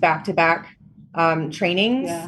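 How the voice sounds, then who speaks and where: Over noticeable background noise, a woman with an American accent speaks with lively intonation. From Florida, Tampa area. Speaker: running group founder. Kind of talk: casual chat.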